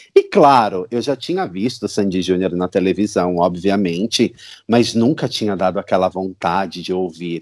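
A man's very deep, low voice at a moderate pace with ordinary pitch variation, on a very clean recording with a silent background. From São Paulo, Brazil. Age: 30s. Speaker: superfan. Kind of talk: casual interview chat.

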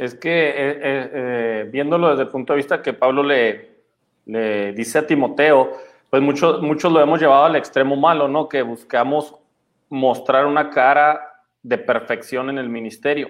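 A man with a plain, everyday voice, fairly high pitch, fairly even intonation and a fairly slow pace. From Chihuahua, Mexico. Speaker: pastor. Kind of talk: casual chat.

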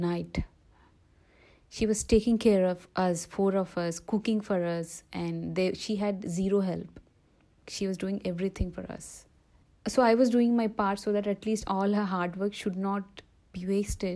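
A woman's medium-pitched voice with a dark, mellow tone, flat monotone intonation and a fairly slow pace, over a very clean recording with a silent background. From India, Andhra Pradesh. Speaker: life coach. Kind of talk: personal testimony interview. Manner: halting, many fillers.

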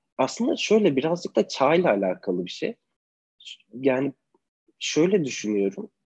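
At a moderate pace, a man with a fairly high voice for a man and vocal fry talks with very wide pitch swings and long, frequent pauses, the sound dry and close with no echo. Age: 20s. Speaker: photographer. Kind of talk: online interview. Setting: video call.

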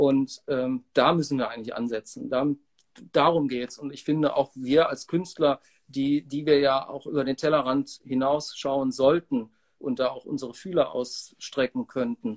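A man with an ordinary speaking voice talks at a moderate pace and fairly high pitch, with fairly even intonation. His loudness swings widely, and the sound is dry and close with no echo. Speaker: musician. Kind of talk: interview.

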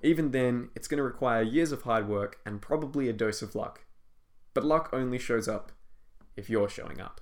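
A man's normal speaking voice at medium pitch and moderate pace, with ordinary pitch variation and big swings in loudness. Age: 20s. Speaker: fantasy author and podcast host. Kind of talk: scripted reading of interview answers.

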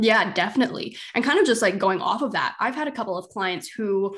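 A woman has an ordinary speaking voice at medium pitch with ordinary pitch variation. The background is quiet. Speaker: podcast host and business coach. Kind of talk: casual interview.

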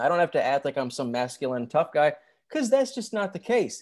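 A man speaks with very wide pitch swings. The recording is very clean, with a silent background. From Michigan. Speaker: reality TV reviewer on YouTube. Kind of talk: casual interview chat.

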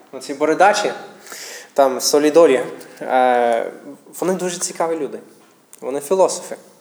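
With an English accent, the speaker moves at a moderate pace with ordinary pitch variation over noticeable background noise. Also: man. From United States. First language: English (speaking Ukrainian). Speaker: missionary pastor. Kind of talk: sermon. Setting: church. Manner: halting.

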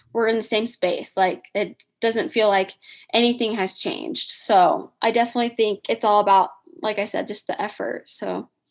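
A woman with a fairly high voice and a Midwestern American accent. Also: ordinary pitch variation, moderate pace. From Indiana. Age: 20s. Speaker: podcast co-host. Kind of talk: casual chat.

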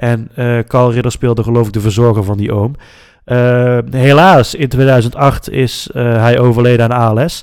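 The recording is very clean with a silent background. A man talks fairly slowly in a normal speaking voice at a medium pitch, with fairly even intonation. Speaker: podcast host. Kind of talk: casual chat.

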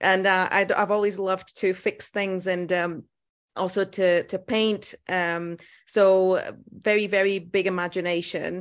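A woman with a Portuguese accent speaks at a moderate pace in a medium-pitched, monotone voice with flat intonation against a quiet background. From Portugal. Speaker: dentist. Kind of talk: interview. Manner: halting.

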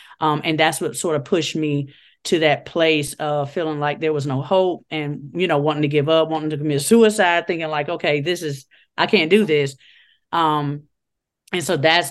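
A woman's very deep, low voice with an American accent and fairly even intonation, over a quiet background. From Chicago, Illinois (West Side). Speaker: guest sharing faith testimony. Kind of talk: personal testimony in casual interview.

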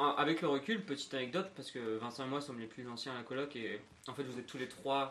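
This man talks very fast with ordinary pitch variation. His voice sits at a medium pitch. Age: 20s. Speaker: podcast co-host, flatmate, events worker. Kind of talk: casual chat.

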